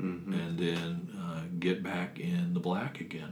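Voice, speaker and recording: A man with a very deep, low voice speaks at a fairly slow pace with ordinary pitch variation, and audible room echo surrounds him. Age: 60s. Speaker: retired teacher and business owner. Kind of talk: interview.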